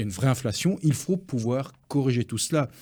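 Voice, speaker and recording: A man speaks at a fairly quick pace in a somewhat breathy voice with lively intonation. The recording is very clean, with a silent background. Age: 60s. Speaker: business federation president. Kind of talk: radio interview.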